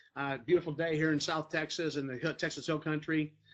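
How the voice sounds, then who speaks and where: A man talks with a fairly high pitch. His intonation stays fairly even. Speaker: network marketing team leader. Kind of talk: training talk to team. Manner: fast; casual, conversational.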